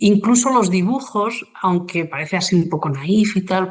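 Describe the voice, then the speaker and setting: Speaking at a fairly slow pace, a woman keeps a medium pitch. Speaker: journalist, writer and illustrator. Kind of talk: interview conversation. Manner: halting, many fillers.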